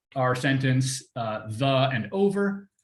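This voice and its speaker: The man's voice is somewhat breathy. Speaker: workshop presenter teaching text mining. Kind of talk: tutorial.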